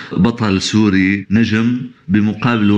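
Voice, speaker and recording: Through audible room echo, a man with a Damascus accent speaks with a fairly low pitch and fairly even intonation. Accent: Syrian Arabic (Damascus). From Syria. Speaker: art critic. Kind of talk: remote interview.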